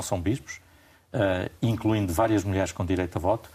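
A somewhat breathy man with a fairly low pitch on a very clean recording with a silent background. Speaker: journalist and radio/TV debate host. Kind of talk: moderated panel discussion. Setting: studio.

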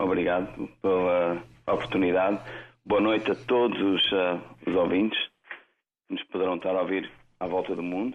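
Speaking at a moderate pace with long, frequent pauses, a man with a very deep, low voice keeps his intonation fairly even. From Lisbon, Portugal. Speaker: singer-songwriter. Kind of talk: interview. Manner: halting.

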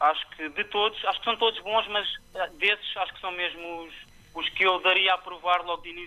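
A man speaks at a moderate pace with a high pitch. His intonation stays fairly even. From Portugal, Tomar. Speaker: professional cook. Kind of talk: interview. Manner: halting.

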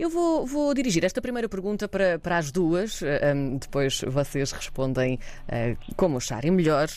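A woman with a European Portuguese accent speaks at a fairly low pitch. Her pitch swings very widely while her loudness stays very even. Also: moderate pace. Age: 30s. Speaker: radio host. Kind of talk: interview.

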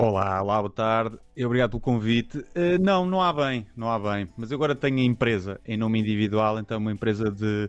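A man at medium pitch talks at a fairly quick pace with hardly any pauses. His pitch varies in an ordinary way. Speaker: comedian. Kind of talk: radio interview. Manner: reserved.

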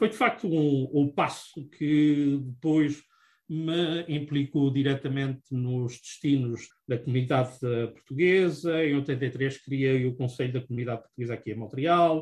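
A man with a fairly high pitch and ordinary pitch variation speaks at a fairly slow pace. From Azores, Portugal. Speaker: accountant and business owner. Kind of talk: interview. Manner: halting, many fillers.

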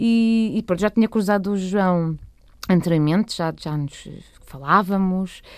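A woman talks in an ordinary speaking voice with ordinary pitch variation. The recording is very clean, with a silent background. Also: medium pitch for a woman. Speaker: cellist and singer. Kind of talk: radio interview.

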